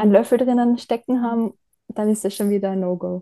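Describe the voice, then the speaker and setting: A woman's dark, mellow tone. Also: dry, close sound with no echo. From Austria, Styria (Bad Gleichenberg). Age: 30s. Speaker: graphic designer and traveller with coeliac disease. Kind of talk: casual interview.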